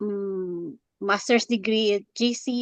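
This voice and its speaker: A woman with a Filipino accent at medium pitch, in a dry, close sound with no echo and a quiet background. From Philippines. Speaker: graduate student and caseworker. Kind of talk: class introduction. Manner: halting.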